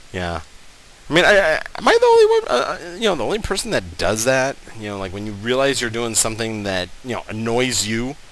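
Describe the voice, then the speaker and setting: A man talks at a fairly quick pace with lively intonation and big swings in loudness. Noticeable background noise runs underneath. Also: medium pitch for a man. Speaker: gaming YouTuber. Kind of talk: let's play commentary. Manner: halting, many fillers.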